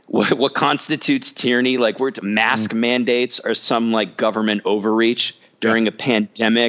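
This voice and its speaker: A man speaks with a plain, everyday voice at a medium pitch and moderate pace, with fairly even intonation. His loudness is very even, and he leaves hardly any pauses. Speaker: podcast co-host. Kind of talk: casual chat.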